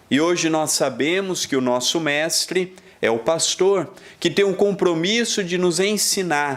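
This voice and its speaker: Noticeable background noise accompanies a man speaking at a fairly slow pace with a Brazilian accent. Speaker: spiritist lecturer. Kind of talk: lecture.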